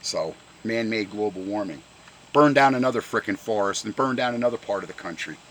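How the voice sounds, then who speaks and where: An animated man's voice with ordinary pitch variation, a fairly quick pace, and noticeable background noise. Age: 60s. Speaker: car enthusiast vlogger. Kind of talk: angry rant.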